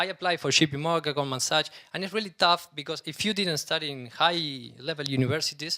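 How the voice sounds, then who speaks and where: With a Spanish accent and a bright, sharp tone, the speaker goes at a fairly quick pace with ordinary pitch variation. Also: man, very clean recording, silent background. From Argentina. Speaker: startup CEO. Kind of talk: conference talk. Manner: halting.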